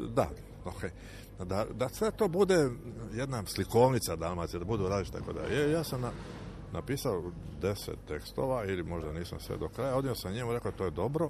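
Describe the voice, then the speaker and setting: A man's fairly low voice with vocal fry, very wide pitch swings and a fairly quick pace. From Croatia, Dalmatia (Šibenik). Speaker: lyricist and shipbuilding engineer. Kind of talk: interview. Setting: outdoors on a town square.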